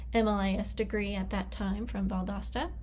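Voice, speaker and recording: The speech runs at a moderate pace, with audible room echo and noticeable background noise. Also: woman. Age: 20s. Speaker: library professional and graduate student. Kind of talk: recorded class presentation. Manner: slightly hesitant, with fillers.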